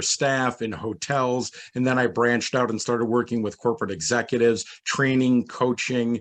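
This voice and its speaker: This man has a medium pitch and an American accent, speaking at a moderate pace. It is a normal speaking voice. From New York, US. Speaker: hospitality consultant. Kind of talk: panel discussion. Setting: virtual event.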